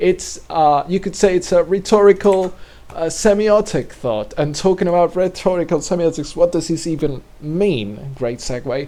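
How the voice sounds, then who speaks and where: This man's voice is loud and high-pitched. His tone is dark and mellow, with ordinary pitch variation. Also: moderate pace. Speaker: video creator explaining a theoretical model. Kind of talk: casual explanatory monologue. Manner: halting, many fillers and restarts.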